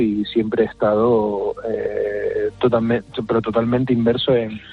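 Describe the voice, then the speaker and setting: A man with a Canarian accent talks at a medium pitch and a fairly slow pace against noticeable background noise. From Canary Islands, La Palma. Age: 30s. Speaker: neurosurgeon. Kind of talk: interview. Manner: halting.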